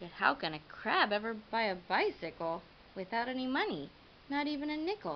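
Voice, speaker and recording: Using a put-on character voice, a woman speaks at a fairly high pitch with very wide pitch swings. Clear background noise sits behind her. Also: moderate pace. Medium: read story. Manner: gruff, snappish.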